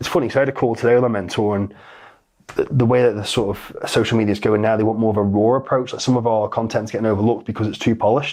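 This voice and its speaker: This man talks at a very fast pace. His pitch is medium and his intonation fairly even. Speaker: fitness coach and business owner. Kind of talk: podcast interview. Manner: slight stutter.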